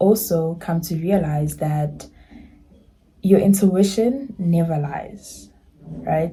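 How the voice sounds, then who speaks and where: Somewhat breathy and fairly low-pitched, a woman speaks in a dark, mellow tone with ordinary pitch variation. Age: 20s. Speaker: lifestyle YouTuber. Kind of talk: casual vlog talk to camera.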